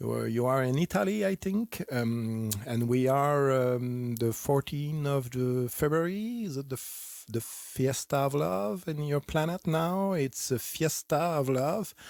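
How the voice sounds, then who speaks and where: Recorded very cleanly against silence, a man with a French accent speaks at a fairly high pitch with lively intonation. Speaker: clinical psychologist and author. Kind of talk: playful self-interview. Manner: halting.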